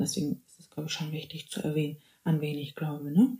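A woman's very deep, low, dark and mellow voice, somewhat breathy, at a fairly quick pace. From Bavaria, Germany. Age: 20s. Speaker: podcast host, student. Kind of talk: casual faith podcast monologue. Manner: animated, mixes in English phrases.

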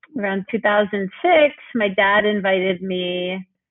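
Speaking at a very slow pace with an American accent, a woman keeps a medium pitch and fairly even intonation. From New York City. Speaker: yoga teacher and nonprofit founder. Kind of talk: casual interview.

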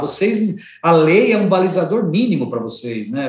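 Audible room echo surrounds a man with a high pitch and lively intonation. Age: 50s. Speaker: organic food company executive. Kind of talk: interview.

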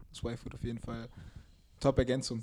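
Dark and mellow in tone, a man's medium-pitched voice keeps a fairly even intonation. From Mainz, Germany. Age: 20s. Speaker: basketball player. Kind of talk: casual chat.

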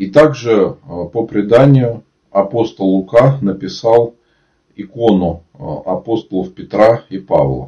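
A man's dark, mellow tone, somewhat breathy, at a very slow pace with lively intonation. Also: medium pitch for a man. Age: 30s. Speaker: Orthodox priest. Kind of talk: live-stream talk and Q&A with viewers; reading aloud facts. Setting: online live broadcast.

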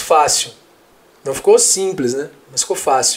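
This is a man at a moderate pace. His pitch varies in an ordinary way. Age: 30s. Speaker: history teacher. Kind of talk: casual interview. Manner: halting, repeats words.

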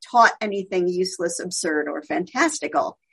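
A woman speaks in a plain, everyday voice with an American accent. Her pitch is medium and her pace fairly quick. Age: 50s. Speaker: literary scholar and writer. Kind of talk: radio interview.

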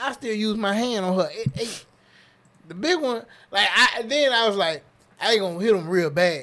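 A man with a high pitch and bright, sharp tone projects his raised voice, leaving long, frequent pauses. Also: moderate pace. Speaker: podcast host. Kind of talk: casual banter podcast chat. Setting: studio. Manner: animated, jokey.

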